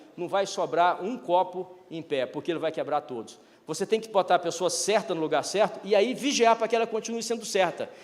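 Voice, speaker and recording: An animated man with a high voice and ordinary pitch variation, talking at a fairly quick pace with hardly any pauses over noticeable background noise. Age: 60s. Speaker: retired business executive, speaker. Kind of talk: keynote talk.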